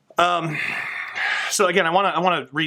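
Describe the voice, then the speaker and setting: A man's fairly high-pitched voice with a bright, sharp tone. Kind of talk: personal testimony monologue. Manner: halting, stammering; off-the-cuff, unscripted.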